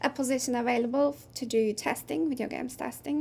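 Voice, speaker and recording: A woman with a Turkish accent at a moderate pace. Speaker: game producer. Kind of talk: interview.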